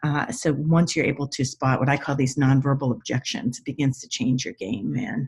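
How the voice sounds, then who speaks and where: A woman's very deep, low pitch, somewhat breathy. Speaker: body language expert. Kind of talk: tutorial. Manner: intense.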